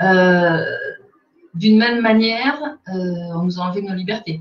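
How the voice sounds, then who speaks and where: A woman speaks at a fairly low pitch, somewhat breathy. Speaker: communication agency director. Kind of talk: webinar presentation.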